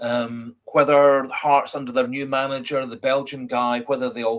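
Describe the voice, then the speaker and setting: This man's speech carries a Scottish accent. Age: 50s. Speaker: football fan livestreamer. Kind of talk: casual chat. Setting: livestream. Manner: halting, many fillers.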